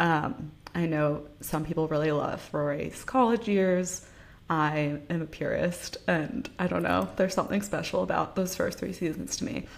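With an ordinary speaking voice, a woman talks at a moderate pace in a fairly low pitch with lively intonation. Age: 20s. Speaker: podcast co-host. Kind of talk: casual chat.

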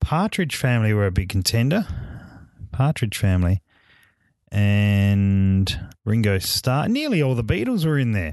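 A man speaks slowly at a fairly low pitch. His loudness stays very even over a quiet background. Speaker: solo podcast host. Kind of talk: casual monologue. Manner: casual, hesitant with many fillers.

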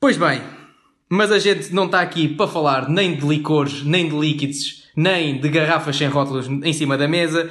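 A man speaks at a moderate pace and fairly high pitch with fairly even intonation. Audible room echo surrounds his voice. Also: very even loudness. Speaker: podcast co-host. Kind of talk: comedic scripted banter.

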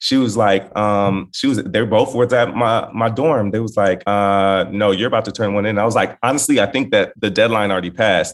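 A man with an American accent speaks in a normal speaking voice at a fairly quick pace, his fairly low pitch held in a fairly even intonation with hardly any pauses. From Los Angeles area, California. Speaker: entertainment correspondent and TV host. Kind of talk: casual chat.

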